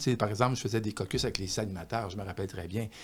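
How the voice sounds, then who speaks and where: Ordinary pitch variation with a Quebec accent, in a very clean recording over a silent background. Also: man. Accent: Québécois French. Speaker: author. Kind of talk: podcast interview. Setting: studio with microphone. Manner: slight stutter, rarely noticeable.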